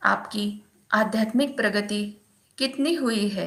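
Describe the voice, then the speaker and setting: A woman speaks in a fairly high voice with a bright, sharp tone and ordinary pitch variation. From Maharashtra, India. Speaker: meditation practitioner reading a guru's message. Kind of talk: reading aloud of a spiritual text.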